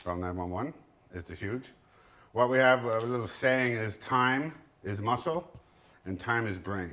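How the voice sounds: The voice has a fairly bright tone and lively intonation. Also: man, medium pitch for a man, fairly slow pace.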